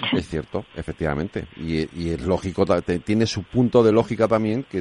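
A man talks with lively intonation. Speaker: radio host. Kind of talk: radio talk show.

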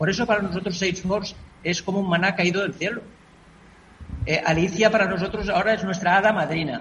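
Over noticeable background noise, a man talks at a very fast pace in a high pitch, with fairly even intonation and long, frequent pauses. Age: 80s+. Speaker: NGO president. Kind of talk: radio interview. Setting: remote connection.

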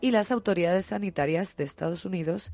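A woman's dark, mellow tone at a fairly low pitch. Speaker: science radio co-host. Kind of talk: news reading.

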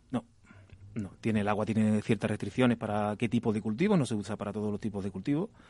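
At a very fast pace, a man talks in a fairly low pitch with a dark, mellow tone. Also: fairly even intonation. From Andalusia, Spain. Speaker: agricultural engineer. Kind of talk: radio interview.

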